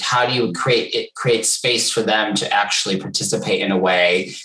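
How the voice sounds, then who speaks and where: A man with an American accent at a moderate pace, with music in the background. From United States. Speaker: HR executive. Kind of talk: interview conversation.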